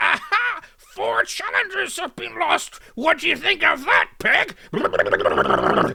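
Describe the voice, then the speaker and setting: In a put-on character voice pitched extremely high, a man speaks very slowly with hardly any pauses. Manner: mocking, taunting.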